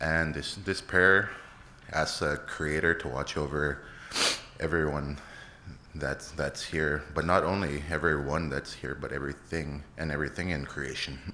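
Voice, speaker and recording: Very deep and low, this man's voice keeps a fairly even intonation. He talks at a fairly slow pace. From Alberta, Canada. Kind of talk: ceremonial introduction and prayer.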